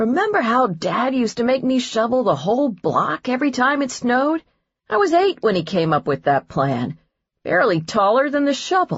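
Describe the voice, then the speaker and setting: Moving at a moderate pace, a put-on character voice swings very widely in pitch. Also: woman, high pitch for a woman. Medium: read story. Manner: dry, joking.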